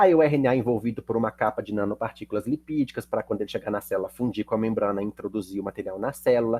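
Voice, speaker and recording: With a dark, mellow tone, a man speaks at a very fast pace with hardly any pauses, recorded with a dry, close sound and no echo. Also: medium pitch for a man, ordinary pitch variation. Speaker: chemistry teacher. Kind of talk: lecture.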